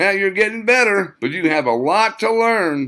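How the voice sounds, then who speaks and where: Shouting in a put-on character voice, a man speaks at a high pitch and moderate pace with lively intonation. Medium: read story. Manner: shouting, pushing.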